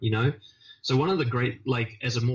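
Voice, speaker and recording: A somewhat breathy man's voice at medium pitch and a moderate pace. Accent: New Zealand. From New Zealand. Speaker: confidence coach. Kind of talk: interview answer.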